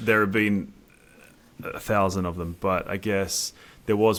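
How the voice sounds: Speaking at a moderate pace, a man shows little pitch movement, vocal fry and a fairly bright tone.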